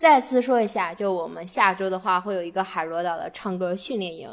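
On a very clean recording with a silent background, a woman speaks with lively intonation at a moderate pace. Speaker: podcast host. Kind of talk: casual chat.

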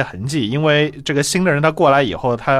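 In a normal speaking voice, a man talks at a fairly high pitch and a fairly quick pace. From China, Changzhou (Jiangsu). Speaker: linguistics researcher and author. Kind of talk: interview.

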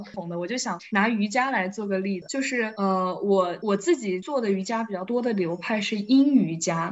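A woman with a medium-pitched voice talks at a moderate pace with ordinary pitch variation and hardly any pauses, over noticeable background noise. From Wuhan, China. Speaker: fitness enthusiast. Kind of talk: casual chat.

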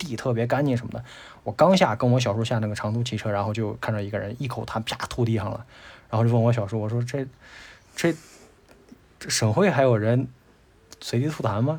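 Speaking at a fairly quick pace yet with long, frequent pauses, a man uses a medium pitch and ordinary pitch variation. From Tianshui, Gansu, northwest China. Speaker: graphic designer, podcast guest. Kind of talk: casual interview chat.

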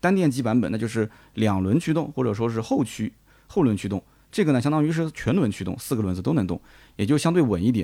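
With a dark, mellow tone at a medium pitch, a man speaks very fast with very wide pitch swings on a very clean recording with a silent background. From Nanjing, China. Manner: conversational, chatty.

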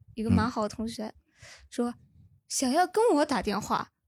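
Captured in a very clean recording with a silent background, a woman speaks fairly quickly at a high pitch with ordinary pitch variation. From Anhui. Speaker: audience member. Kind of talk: casual chat. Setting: stage with audience.

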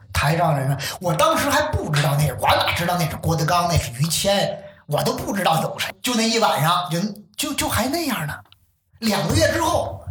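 At a moderate pace, a high-pitched man talks with very wide pitch swings, and audible room echo surrounds his voice. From Beijing. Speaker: crosstalk enthusiast. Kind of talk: casual chat.

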